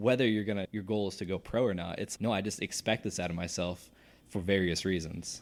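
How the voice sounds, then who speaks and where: A man with an American accent and a normal speaking voice, fairly low in pitch, fairly even in intonation and fairly quick in pace, on a very clean recording with a silent background. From Virginia. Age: 30s. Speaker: professional BMX rider. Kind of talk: casual chat.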